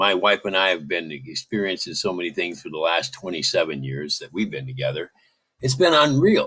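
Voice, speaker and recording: A man with an American accent talks at a fairly quick pace in a very deep, low pitch with vocal fry. His tone is bright and sharp, and his pitch swings very widely. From Michigan, US Midwest. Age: 70s. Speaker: caller. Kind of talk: casual chat.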